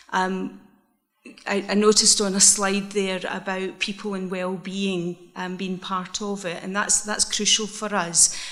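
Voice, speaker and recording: In a Scottish accent, a woman talks at a moderate pace with monotone, flat intonation while the room echo is audible. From Scotland, Isle of Bute. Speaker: social enterprise manager. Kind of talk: conference presentation. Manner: hesitant, many fillers.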